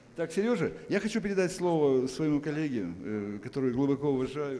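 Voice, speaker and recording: This man's pitch is fairly high and swings very widely. He talks at a fairly quick pace. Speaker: event host. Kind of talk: introduction speech.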